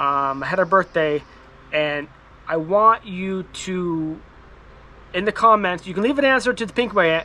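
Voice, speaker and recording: In a raised, projected voice, a man with a high pitch speaks at a fairly slow pace with lively intonation and long, frequent pauses. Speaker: firewood YouTuber. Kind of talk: casual vlog talk to viewers. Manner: halting, many fillers and repetitions.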